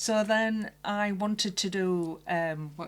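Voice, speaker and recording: Very clean recording, silent background, and a woman in a Barnsley accent at medium pitch with fairly even intonation. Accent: Barnsley, Yorkshire accent, noticeable. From Barnsley, South Yorkshire. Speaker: special effects makeup artist. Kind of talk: casual interview.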